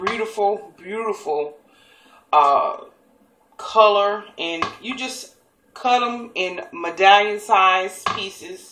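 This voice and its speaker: In an American accent, a woman speaks at a very slow pace, with audible room echo. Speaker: cooking show host. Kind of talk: cooking tutorial. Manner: casual, chatty.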